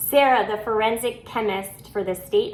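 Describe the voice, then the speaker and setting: A woman speaks with a fairly high pitch. Noticeable background noise is present. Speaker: reality TV commentator. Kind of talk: casual episode review vlog. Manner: frequent filler ums.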